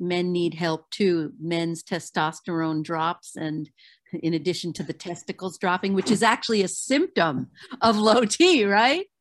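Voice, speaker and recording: Against a quiet background, a woman with an ordinary speaking voice talks at a fairly low pitch and fairly slow pace with ordinary pitch variation. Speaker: radio host. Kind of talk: radio interview.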